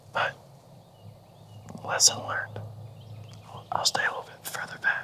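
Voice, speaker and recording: A man whispers at a moderate pace, with big swings in loudness and long, frequent pauses. Noticeable background noise can be heard. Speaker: hunting vlogger. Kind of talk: hunting vlog narration. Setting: outdoors.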